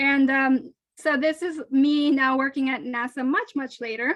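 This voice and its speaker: Her voice high in pitch, a woman speaks with a Spanish accent. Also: dry, close sound with no echo. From Colombia, then South Florida. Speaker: NASA engineer giving a school talk. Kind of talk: lecture. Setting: video call.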